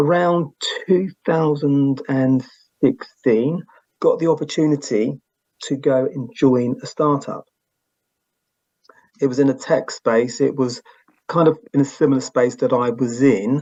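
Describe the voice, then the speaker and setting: In a British accent, a man with a fairly high pitch and ordinary pitch variation speaks fairly slowly, taking long, frequent pauses. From England. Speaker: podcast host, guest. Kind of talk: interview. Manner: halting.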